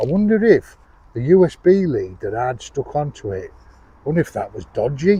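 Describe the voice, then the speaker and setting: A man with a northern English accent speaks with very wide pitch swings. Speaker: outdoors vlogger. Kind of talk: casual product review vlog. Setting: outdoors in woods.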